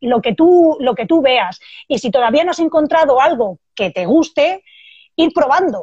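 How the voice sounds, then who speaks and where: Speaking at a fairly slow pace, a woman with a high pitch makes very wide pitch swings, the sound dry and close with no echo. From Spain, Barcelona. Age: 30s. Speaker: Muay Thai fighter and self-defence instructor. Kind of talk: casual interview.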